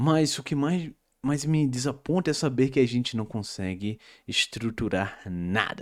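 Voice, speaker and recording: A man's medium-pitched voice at a fairly slow pace, with lively intonation, in a very clean recording with a silent background. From Brazil, interior of Pernambuco. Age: 20s. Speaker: YouTuber and commentator. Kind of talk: casual vlog rant. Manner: hesitant, many filler words.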